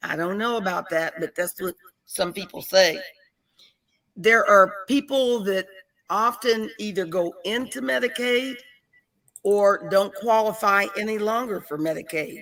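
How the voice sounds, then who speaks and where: A woman with an American accent, a plain, everyday voice, a fairly slow pace and ordinary pitch variation. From Pittsburgh, Pennsylvania. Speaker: Medicare and Medicaid advisor. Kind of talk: informational interview.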